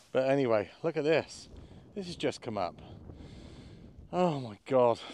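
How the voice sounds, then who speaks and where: His pitch rises and falls very widely. The man delivers his words fairly slowly. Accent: West Country. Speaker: metal detectorist vlogger. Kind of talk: casual outdoor vlog commentary. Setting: outdoors in a field. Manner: animated.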